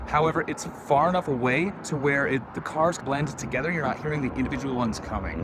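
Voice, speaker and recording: A man speaks at a moderate pace with lively intonation and a fairly high pitch. Noticeable background noise and audible room echo fill the recording. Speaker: real estate agent. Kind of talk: property tour walkthrough. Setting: indoors and on patio of a house. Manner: casual, rambling.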